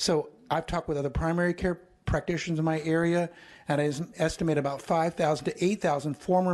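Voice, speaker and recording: A plain, everyday voice speaks at a fairly quick pace with fairly even intonation in a very clean recording with a silent background. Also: man. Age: 60s. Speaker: retired physician, public commenter. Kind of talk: public testimony. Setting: legislative hearing room.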